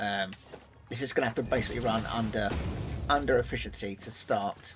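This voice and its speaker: Fairly quick speech over music in the background. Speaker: video game streamer. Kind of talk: live gameplay commentary. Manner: casual, with frequent fillers.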